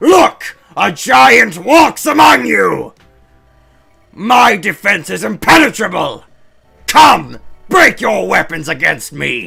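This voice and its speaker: A man shouts in a put-on character voice at a high pitch, very slowly and with long, frequent pauses. Faint music plays in the background. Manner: boastful, challenging.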